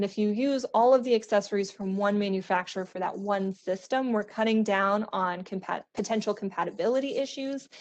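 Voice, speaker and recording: This woman speaks at a fairly quick pace, her medium-pitched voice keeping a fairly even intonation. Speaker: architectural sales rep presenting to architects. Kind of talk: webinar presentation. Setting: virtual online webinar. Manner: fast.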